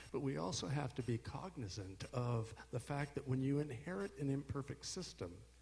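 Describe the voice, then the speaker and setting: The voice is somewhat breathy, with lively intonation. It runs on with hardly any pauses. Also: man, medium pitch for a man, moderate pace. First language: Spanish. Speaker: prosecutor. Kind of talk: panel discussion. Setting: stage with audience.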